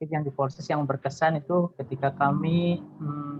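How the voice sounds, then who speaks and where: A man speaks with a fairly high pitch at a fairly quick pace. His intonation is monotone and flat. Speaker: alumnus, employee. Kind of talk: webinar talk sharing tips.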